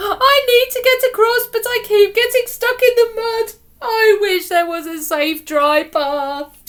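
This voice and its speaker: A woman puts on a character voice, pitched extremely high, and talks at a fairly slow pace. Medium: read story.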